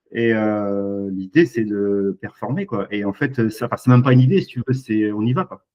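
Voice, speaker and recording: A man uses a normal speaking voice with a fairly low pitch and ordinary pitch variation. He talks at a moderate pace with hardly any pauses. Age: 40s. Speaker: e-commerce entrepreneur, former fisherman. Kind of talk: casual interview.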